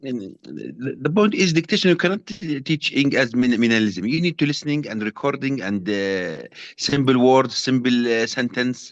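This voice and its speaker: A man with a Jordanian accent speaks at medium pitch and a moderate pace, with hardly any pauses. His pitch swings very widely. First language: Arabic. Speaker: trainee teacher. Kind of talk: class discussion. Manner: halting, stammering.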